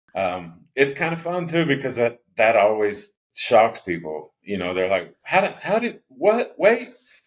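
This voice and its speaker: A man with vocal fry, fairly high-pitched, at a fairly slow pace with very wide pitch swings and hardly any pauses. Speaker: pickleball player. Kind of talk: interview. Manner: loud; halting, repeated words.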